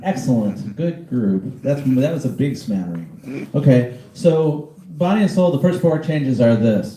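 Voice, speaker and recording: With lively intonation, a man speaks in a dark, mellow tone that is somewhat breathy. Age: 60s. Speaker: jazz pianist teaching a masterclass. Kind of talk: lecture.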